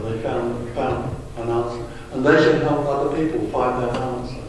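There is strong room echo and light background noise around this man's voice. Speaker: speaker. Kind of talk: talk to an audience. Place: hall.

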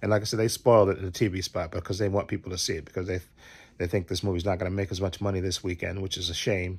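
In a very deep, low voice, a man speaks with monotone, flat intonation. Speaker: movie fan vlogger. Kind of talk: casual vlog chat. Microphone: phone near.

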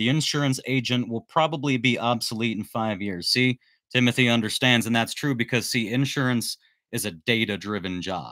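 A man's medium-pitched voice, bright and sharp in tone, with ordinary pitch variation. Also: moderate pace, quiet background. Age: 40s. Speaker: handyman business youtuber. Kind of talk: live stream chat. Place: home room. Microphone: studio mic.

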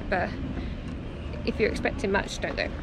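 A woman talks at a very fast pace. Loud background noise runs underneath. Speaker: travel vlogger. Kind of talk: casual vlog chat. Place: street. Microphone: phone near.

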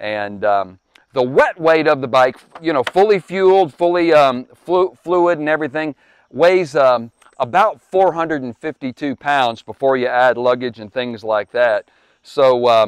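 A man talks at a fairly slow pace, his voice dry with no echo. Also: quiet background. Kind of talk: product review talk. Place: street.

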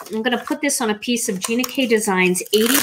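There is light background noise. A woman is speaking. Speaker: card maker hosting live show. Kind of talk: tutorial.

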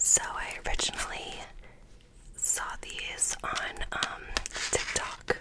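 Whispering at a very slow pace, the woman is soft-spoken. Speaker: ASMR creator. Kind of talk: soft-spoken ASMR chat. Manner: soft close-mic ASMR whisper. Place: home room. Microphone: studio mic.

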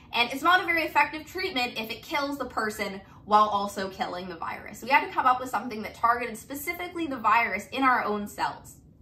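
A woman's high-pitched voice at a very fast pace, with very wide pitch swings. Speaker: biology tutor. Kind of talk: lecture. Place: home room. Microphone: camera far.

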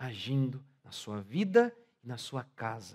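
Against a quiet background, a man's voice comes through with a dark, mellow tone. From Brazil. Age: 40s. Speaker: pastor. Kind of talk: sermon. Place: church. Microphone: headset.

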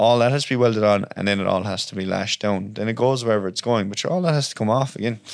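Talking at a very fast pace in a Cork accent, a man uses a fairly low pitch with ordinary pitch variation. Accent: Irish, Cork. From Ireland (West Cork). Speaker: welder and subcontractor. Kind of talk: casual chat. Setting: studio with microphones. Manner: animated, heavy swearing.

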